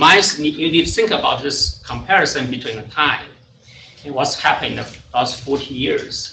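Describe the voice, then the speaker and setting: Loudness swings widely in this clip, which has audible room echo and noticeable background noise. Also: man, moderate pace. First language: not English (third language). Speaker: water quality scientist. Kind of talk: technical presentation. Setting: presentation to an audience. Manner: halting, many fillers.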